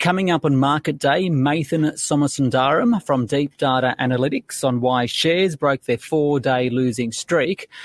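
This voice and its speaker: A man's plain, everyday voice at a fairly high pitch and moderate pace, with ordinary pitch variation and hardly any pauses. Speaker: finance news podcast host. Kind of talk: news interview. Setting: studio.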